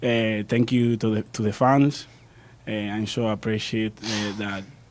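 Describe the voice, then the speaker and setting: A man speaks with a Spanish accent at a fairly low pitch. His fairly slow delivery has monotone, flat intonation. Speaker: football player. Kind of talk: casual chat. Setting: studio. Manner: halting.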